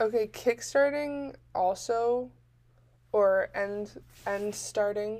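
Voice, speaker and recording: A woman with a Californian accent speaks at a very slow pace, her fairly high pitch moving with ordinary variation. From US West Coast, Northern California Bay Area. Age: 20s. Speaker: college student podcaster. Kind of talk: solo podcast monologue. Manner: frequent fillers, lots of ums; animated.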